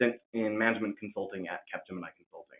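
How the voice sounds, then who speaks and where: A man with a Californian accent and a fairly low pitch. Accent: General American (Californian). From California, US. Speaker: MBA student. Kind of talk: webinar self-introduction. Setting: video call.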